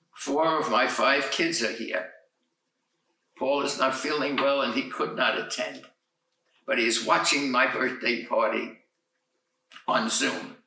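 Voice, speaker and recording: A man's voice with audible room echo, fairly slow delivery, and long pauses that come often. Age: 80s+. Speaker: centenarian. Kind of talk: birthday speech.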